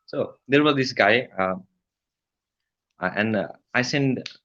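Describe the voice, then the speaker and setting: Speaking at a moderate pace with a Nepali accent, a man uses a bright, sharp tone and ordinary pitch variation. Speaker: email copywriter. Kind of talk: interview.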